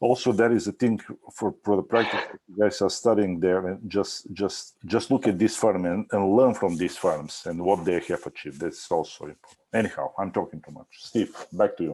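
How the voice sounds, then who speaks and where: In a non-native accent, a man with a fairly low voice speaks at a moderate pace with hardly any pauses, ordinary pitch variation and big swings in loudness, on a very clean recording with a silent background. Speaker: architecture instructor. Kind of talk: review critique. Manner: halting, many fillers.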